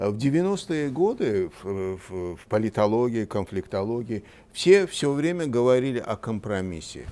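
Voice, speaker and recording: With a dark, mellow tone, a man speaks at a fairly slow pace using very wide pitch swings. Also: big swings in loudness. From Azerbaijan. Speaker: director of a philosophy and sociology institute; guest. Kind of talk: TV interview on politics. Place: studio. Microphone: lapel.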